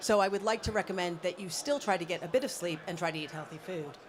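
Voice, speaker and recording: Someone speaks at a very fast pace with a Californian accent. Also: woman. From US, Los Angeles. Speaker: mentor and independent consultant. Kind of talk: conference talk. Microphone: handheld mic held close to mouth.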